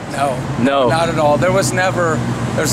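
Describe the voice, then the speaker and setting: A man delivers his words fairly quickly while loud noise fills the background. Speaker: interviewee. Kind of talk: interview answer. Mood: reflective, earnest. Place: street. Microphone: phone near.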